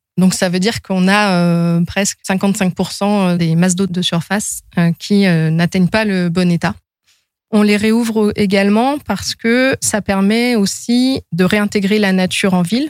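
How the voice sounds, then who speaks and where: A woman speaks at a very slow pace and medium pitch with very even loudness, recorded dry and close with no echo on a very clean track with a silent background. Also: ordinary pitch variation. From France, Seine-Saint-Denis and Brittany. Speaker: environmental consultant. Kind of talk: interview monologue.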